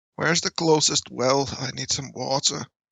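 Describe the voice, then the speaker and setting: A man puts on a raspy character voice, his pitch medium and his intonation fairly even, at a moderate pace. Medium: actual play. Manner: halting, flustered.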